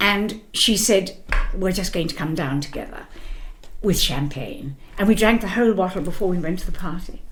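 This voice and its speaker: A medium-pitched woman's voice at a moderate pace, with audible room echo. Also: lively intonation. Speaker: musical theatre actress. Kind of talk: interview.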